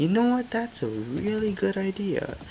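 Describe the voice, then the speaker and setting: With noticeable background noise behind it, the talking proceeds at a fairly slow pace. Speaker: gaming youtuber. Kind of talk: gameplay commentary. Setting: home recording at night. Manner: loud; casual, many fillers.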